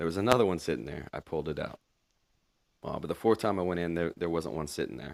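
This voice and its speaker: A man talks at a very fast pace with a very deep, low pitch and vocal fry. The sound is dry and close with no echo, on a very clean recording with a silent background. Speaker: homesteader and pig farmer. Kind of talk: voiceover narration.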